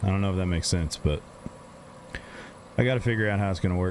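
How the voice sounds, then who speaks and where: A man with an American accent talks at a very fast pace in a fairly low pitch. Noticeable background noise sits behind him. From Texas. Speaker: gaming streamer and musician. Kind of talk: casual live-stream chat while gaming.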